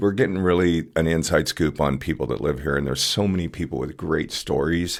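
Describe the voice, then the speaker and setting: Over a silent background on a very clean recording, a man talks at a fairly quick pace in a very deep, low voice with vocal fry and ordinary pitch variation. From California. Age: 60s. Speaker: community volunteer, produce deliverer. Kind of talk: casual chat.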